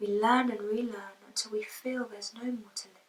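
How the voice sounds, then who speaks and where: A woman's fairly high voice with monotone, flat intonation. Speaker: poet. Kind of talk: spoken word poetry reading.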